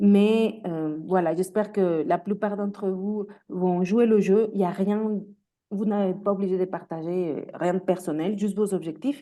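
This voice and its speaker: In a Mexican accent, a woman with a dark, mellow tone and medium pitch speaks at a fairly slow pace with fairly even intonation. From Mexico. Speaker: career coach. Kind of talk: webinar presentation. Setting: video call. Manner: hesitant, many fillers.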